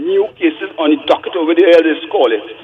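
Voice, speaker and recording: A man's voice moves through very wide pitch swings. There is noticeable background noise. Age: 70s. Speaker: caller. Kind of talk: phone-in call. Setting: phone call.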